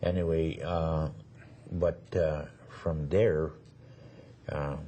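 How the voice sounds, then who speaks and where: Very slowly and in a flat monotone, a man speaks with a very deep, low, somewhat breathy voice. Audible echo fills the room around him. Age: 70s. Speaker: Métis elder. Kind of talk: oral history interview. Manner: halting.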